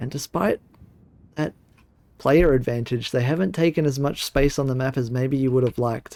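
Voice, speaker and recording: A man with an Australian accent talks at a moderate pace, with long, frequent pauses. His medium-pitched voice has a dark, mellow tone and ordinary pitch variation, and the sound is dry and close with no echo. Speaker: esports commentator. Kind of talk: live commentary. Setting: solo livestream broadcast.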